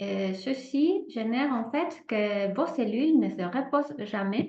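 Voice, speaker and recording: Lively intonation marks this woman's high-pitched voice, spoken with a non-native accent. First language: not French (speaking French). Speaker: holistic therapist. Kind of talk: presentation with guided exercise. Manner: hesitant, many fillers.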